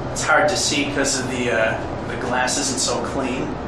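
There is audible room echo and loud background noise. A man speaks at a fairly slow pace. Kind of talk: casual commentary. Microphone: phone near.

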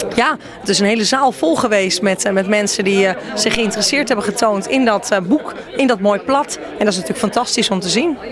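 Crowd noise fills the background as a woman talks at a fairly quick pace and a fairly high pitch, with ordinary pitch variation and a dry sound with no echo. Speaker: guest at book launch. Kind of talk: interview answer. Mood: friendly, pleased. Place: hall. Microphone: handheld.

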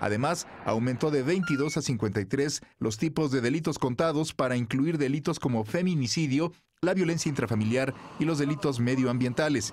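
A man with a plain, everyday voice, fairly high in pitch, at a moderate pace with ordinary pitch variation and very even loudness. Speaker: news reporter. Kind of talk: scripted narration. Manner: formal.

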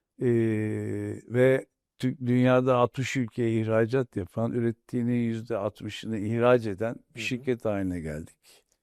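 A man with a normal speaking voice talks at a fairly slow pace in a medium pitch with ordinary pitch variation, in a very clean recording with a silent background and a dry, close sound with no echo. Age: 60s. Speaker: industrialist, company chairman. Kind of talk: interview. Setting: studio.

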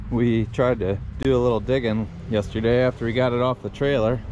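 A man at a moderate pace with fairly even intonation, in a dry setting with no echo and noticeable background noise. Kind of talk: casual repair vlog commentary. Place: garden. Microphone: phone near.

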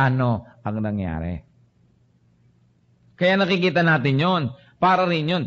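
With a fairly high pitch and very wide pitch swings, a man speaks at a fairly slow pace. He leaves long, frequent pauses. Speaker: preacher / pastor. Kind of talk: sermon preaching to a congregation. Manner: earnest, conversational.

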